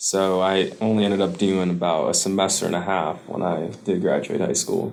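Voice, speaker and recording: A man with a fairly low voice speaks at a moderate pace, with audible room echo. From US, Caribbean immigrant family. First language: Spanish. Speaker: student veteran. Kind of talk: interview.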